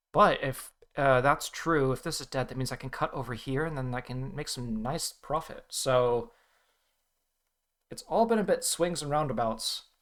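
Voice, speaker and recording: A man with an American accent talks at a moderate pace in a fairly high pitch with ordinary pitch variation, in a very clean recording with a silent background. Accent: American-ish. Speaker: go player streamer. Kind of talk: live game commentary. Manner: thinking aloud, halting.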